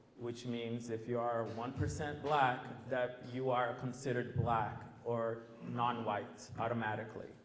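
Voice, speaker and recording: Audible room echo and noticeable background noise are present. Words come at a fairly slow pace. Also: man. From Brazil. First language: Portuguese. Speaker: former teacher, panelist. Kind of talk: panel discussion.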